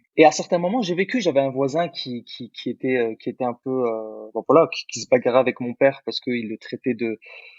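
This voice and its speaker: A man with an ordinary speaking voice talks at a fairly quick pace, with hardly any pauses and big swings in loudness. His pitch is medium, with ordinary pitch variation. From born in Algeria, grew up in France. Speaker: podcast co-host. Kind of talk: casual chat.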